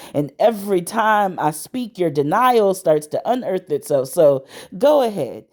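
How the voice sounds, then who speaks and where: With lively intonation, a woman talks at a fairly slow pace in an unremarkable speaking voice. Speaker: spoken word poet. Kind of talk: spoken word poetry performance.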